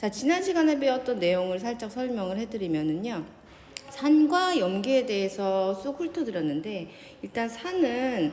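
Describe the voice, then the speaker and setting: Amid noticeable background noise and audible room echo, a woman speaks at a fairly slow pace with a fairly high pitch and very wide pitch swings. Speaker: high school science teacher. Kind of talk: lecture.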